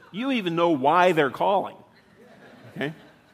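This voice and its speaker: The man speaks with lively intonation. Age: 50s. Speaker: pastor. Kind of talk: sermon. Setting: church.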